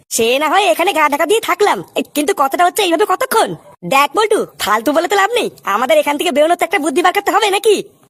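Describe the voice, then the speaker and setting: A whiny put-on character voice, extremely high-pitched, at a very fast pace. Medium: cartoon. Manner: stammering, whiny, panicky.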